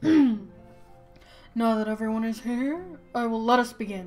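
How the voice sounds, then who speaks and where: A woman's put-on character voice, fairly high in pitch and fairly slow in pace, over faint music in the background. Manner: formal, putting on a male voice.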